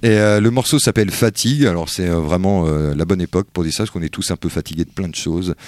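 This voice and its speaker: With hardly any pauses and ordinary pitch variation, the speech moves at a very fast pace in a dry, close sound with no echo on a very clean recording with a silent background. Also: man, very deep, low pitch for a man. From France. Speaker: radio host. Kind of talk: casual chat.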